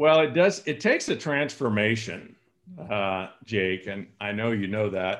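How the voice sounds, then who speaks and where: A man at a fairly slow pace with lively intonation. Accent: West Coast US. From California, San Joaquin Valley. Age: 60s. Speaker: sales coach and speaker. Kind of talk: podcast interview.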